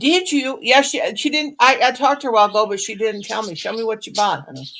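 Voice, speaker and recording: Talking at a very fast pace, a woman with a fairly high pitch uses lively intonation and big swings in loudness. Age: 60s. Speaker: crochet livestream host. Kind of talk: casual chat. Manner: rambling, halting.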